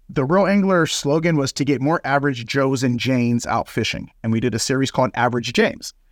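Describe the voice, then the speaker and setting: Speaking at a very fast pace, a man keeps very even loudness and ordinary pitch variation on a very clean recording with a silent background. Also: medium pitch for a man, hardly any pauses. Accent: American. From California, Oxnard area. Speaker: fishing educator, outdoor program founder. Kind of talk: interview. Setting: outdoors at a harbor.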